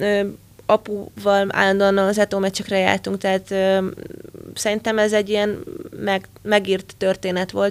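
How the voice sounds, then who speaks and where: Her loudness stays very even as the woman speaks in a flat monotone. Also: medium pitch for a woman, fairly slow pace. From Hungary, Győr. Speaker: football coach and former national team player. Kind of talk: interview.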